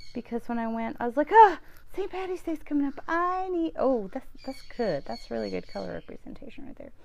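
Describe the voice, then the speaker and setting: A woman talks with an Alabama accent. Noticeable background noise runs behind her. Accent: Southern US (Alabama). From US South, central Alabama. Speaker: knitting vlogger. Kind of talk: casual video chat. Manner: chatty, many fillers.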